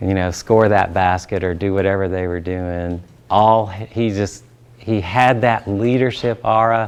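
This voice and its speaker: A man with a Southern US accent, fairly low in pitch, fairly slow, with fairly even intonation. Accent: Southern drawl. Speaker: pastor and trainer. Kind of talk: training talk with personal story.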